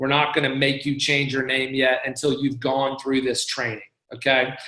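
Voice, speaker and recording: A man speaks at a moderate pace in a medium pitch with monotone, flat intonation, and the room echo is audible. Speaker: church staff member leading volunteer training. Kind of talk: online training presentation. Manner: casual with many fillers.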